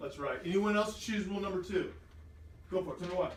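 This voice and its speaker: Loud and very fast, a man speaks amid noticeable background noise and audible room echo. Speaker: teacher. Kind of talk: classroom lesson. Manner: animated.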